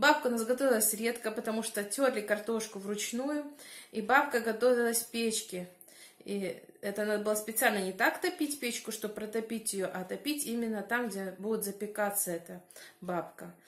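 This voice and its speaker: The delivery moves at a moderate pace with ordinary pitch variation. Audible room echo surrounds the voice. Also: woman. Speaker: village life vlogger. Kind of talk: casual vlog chat. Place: kitchen. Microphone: phone near.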